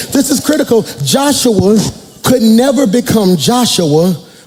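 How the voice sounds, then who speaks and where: Against music in the background and audible room echo, a man speaks at a fairly slow pace and high pitch, with lively intonation and an animated tone. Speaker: pastor. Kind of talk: sermon. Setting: church with congregation.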